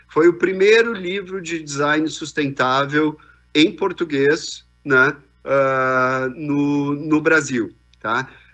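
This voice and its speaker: Faint music plays in the background as a man with a fairly high pitch talks at a very slow pace. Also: ordinary pitch variation. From southern Brazil, Rio Grande do Sul (Farroupilha); Rio Grande do Sul, Brazil. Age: 50s. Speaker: business executive; keynote speaker. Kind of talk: keynote talk. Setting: video call. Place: hall.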